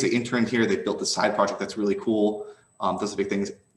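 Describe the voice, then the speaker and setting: Audible room echo surrounds a man who talks very fast at a fairly low pitch. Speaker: tech startup founder. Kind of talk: keynote Q&A. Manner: casual.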